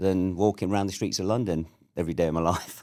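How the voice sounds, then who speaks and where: With a southern English accent, a man talks very fast in a very deep, low voice with a dark, mellow tone. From southern England (Surrey). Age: 60s. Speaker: entrepreneur and army veteran. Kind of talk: casual interview chat.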